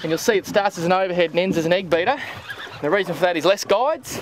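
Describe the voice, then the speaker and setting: This man talks very fast in a high voice with an Australian accent and ordinary pitch variation. The sound is dry with no echo, over light background noise. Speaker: fishing TV presenter. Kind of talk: casual banter while fishing. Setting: outdoors on a boat. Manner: animated. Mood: cheerful, amused. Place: boat.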